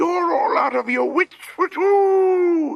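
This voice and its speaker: Delivered very slowly, this put-on character voice sits at an extremely high pitch. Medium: read story. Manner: complaining.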